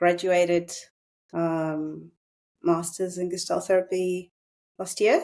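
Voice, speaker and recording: In a Russian accent, a woman speaks very slowly with long, frequent pauses, her fairly low voice dark and mellow. Her intonation is flat and monotone, and the recording is very clean with a silent background. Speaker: psychotherapist. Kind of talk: casual chat.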